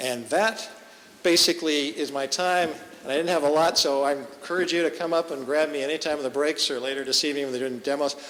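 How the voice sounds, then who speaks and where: A man at a fairly high pitch, speaking at a very fast pace with fairly even intonation, over noticeable background noise. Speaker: tech conference speaker. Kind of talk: lightning talk presentation.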